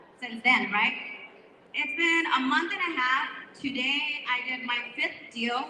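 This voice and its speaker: A woman's raised, projected, high-pitched voice in a Mexican accent, fairly slow with ordinary pitch variation, amid noticeable background noise and audible room echo. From northern Mexico (Chihuahua). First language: Spanish. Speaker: radio host and real estate wholesaler. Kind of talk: speech to a live audience at a networking event. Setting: event room with live audience. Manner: animated.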